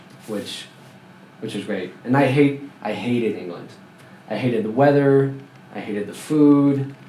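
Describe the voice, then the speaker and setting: A man speaks at a moderate pace and a medium pitch, with ordinary pitch variation. His loudness swings widely, long pauses come often, and the room echo is audible. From France. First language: French. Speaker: former Scientologist. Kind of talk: interview.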